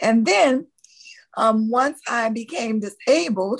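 Speaking very slowly with a Louisiana accent and ordinary pitch variation, this voice comes through a very clean recording with a silent background. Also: woman. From US South, New Orleans, Louisiana. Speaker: nurse practitioner and author. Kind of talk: interview.

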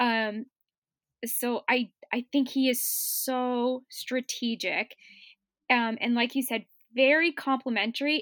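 A woman with a high, bright and sharp voice, recorded dry and close with no echo, very clean and over a silent background. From Cape Breton, Nova Scotia, Canada. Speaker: book podcast guest. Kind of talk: casual chat.

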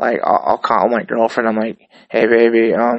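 This man has a normal speaking voice at a medium pitch. He talks at a fairly quick pace with fairly even intonation. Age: 30s. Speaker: podcast host. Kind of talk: casual monologue.

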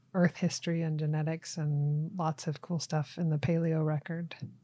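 An ordinary speaking voice with an American accent moves at a fairly slow pace. The recording is very clean, with a silent background. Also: woman. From US South (Tennessee and Florida). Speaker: wildlife agency small game program manager. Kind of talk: casual interview.

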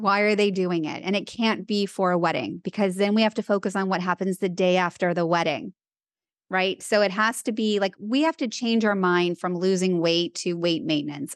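A normal speaking voice comes through dry and close with no echo against a quiet background, at a moderate pace with ordinary pitch variation. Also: woman. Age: 50s. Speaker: dietitian and author. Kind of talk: casual interview.

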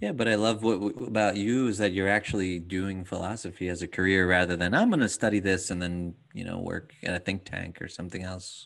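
Over a quiet background, a man talks at a fairly quick pace with hardly any pauses, his very deep, low pitch held in fairly even intonation. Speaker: podcast host and dad coach. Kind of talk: casual interview conversation.

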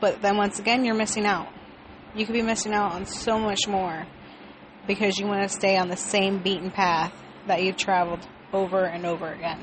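Over noticeable background noise, a woman of medium pitch talks at a fairly quick pace with fairly even intonation. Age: 20s. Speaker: podcaster. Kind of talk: personal monologue. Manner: rambling.

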